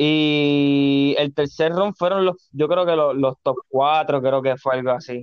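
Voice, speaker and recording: Speaking at a very slow pace with hardly any pauses, a man keeps a fairly high pitch, fairly even intonation and very even loudness. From Puerto Rico, Carolina. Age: 20s. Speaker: skateboarder. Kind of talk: casual chat.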